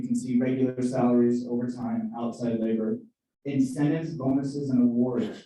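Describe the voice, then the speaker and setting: A man's medium-pitched voice has a dark, mellow tone and fairly even intonation. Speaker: senior living community finance presenter. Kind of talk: budget presentation at town hall. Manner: fast.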